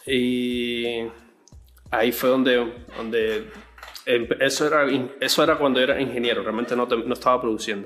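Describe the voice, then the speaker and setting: Long, frequent pauses break up a man's speech at a moderate pace. His medium pitch stays monotone and flat amid noticeable background noise. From Cuba. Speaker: music producer and bassist. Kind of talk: interview. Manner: halting, many repetitions.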